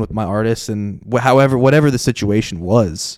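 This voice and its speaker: In a very clean recording with a silent background, a man with an American accent and an unremarkable speaking voice talks at a moderate pace and medium pitch, his intonation fairly even. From US Southeast (Southwest Florida). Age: 20s. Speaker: podcast host, music industry worker. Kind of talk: casual interview chat. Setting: home recording.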